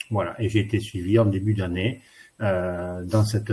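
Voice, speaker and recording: At a fairly slow pace, a man speaks with a dark, mellow tone, somewhat breathy and fairly low in pitch, with monotone, flat intonation. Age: 60s. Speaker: worker nearing retirement. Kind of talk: testimony. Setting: online webinar.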